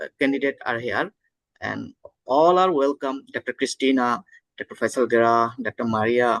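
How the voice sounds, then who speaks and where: A man with a Bangladeshi accent talks at medium pitch and a moderate pace in a dry, close sound with no echo. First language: Bengali. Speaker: homeopathic doctor and conference host. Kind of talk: conference opening remarks. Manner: halting, many fillers.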